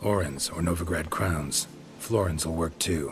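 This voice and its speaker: Over clear background music, someone performs a put-on character voice at a moderate pace. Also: man, very deep, low pitch for a man. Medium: machinima. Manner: terse, clipped sentences, deadpan.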